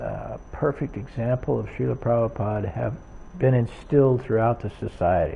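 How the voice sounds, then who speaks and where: Speaking at a fairly slow pace, a man with a medium-pitched, somewhat breathy voice is heard. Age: 70s. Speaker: religious teacher, early disciple. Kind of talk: lecture with consecutive interpretation. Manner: halting, with repetitions.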